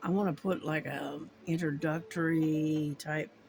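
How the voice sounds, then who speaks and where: Over music in the background, a woman with an American accent speaks very slowly at a very deep, low pitch. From US, army family moving around. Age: 60s. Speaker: crafting YouTuber. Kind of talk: casual chat. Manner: halting, many fillers.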